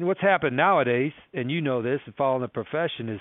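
Here a man is speaking. His pitch varies in an ordinary way. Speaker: college football head coach. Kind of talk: casual interview storytelling.

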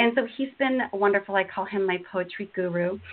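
Speaking at a moderate pace, a woman with a medium pitch shows ordinary pitch variation. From Washington State, US Pacific Northwest. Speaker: poet and elementary school teacher. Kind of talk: interview and poetry reading. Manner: talkative, many fillers.

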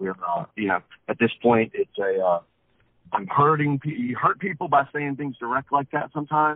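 Using an ordinary speaking voice, a man with an American accent talks at a moderate pace with a fairly high pitch and lively intonation. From Wilmington, North Carolina. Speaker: rock singer-songwriter. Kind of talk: interview.

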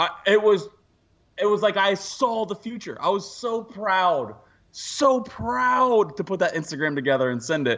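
A man with a high pitch talks at a fairly slow pace in an animated tone, his pitch swinging very widely. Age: 30s. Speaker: podcast co-host. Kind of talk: casual chat.

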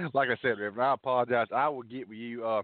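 A man talks with a Southern US accent. His pitch is medium. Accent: Southern US drawl. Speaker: radio show host.

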